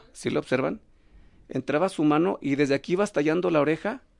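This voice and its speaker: Against a quiet background, a man speaks with lively intonation at a fairly high pitch. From Mexico, León, Guanajuato. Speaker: professional wrestler. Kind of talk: casual interview. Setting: studio, streamed live.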